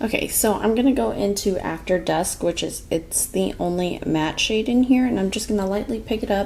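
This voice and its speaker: A woman's medium-pitched voice with hardly any pauses, over noticeable background noise. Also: moderate pace. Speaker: beauty vlogger. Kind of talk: makeup tutorial chat. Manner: louder, less monotone than usual; casual, with many filler words.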